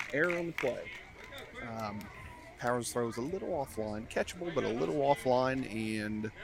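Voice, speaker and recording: A soft-spoken man at a moderate pace, medium-pitched, with lively intonation, long and frequent pauses, and noticeable background noise. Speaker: play-by-play announcer. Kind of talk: live commentary. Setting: outdoors behind the fence at a ballfield. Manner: subdued, not too animated.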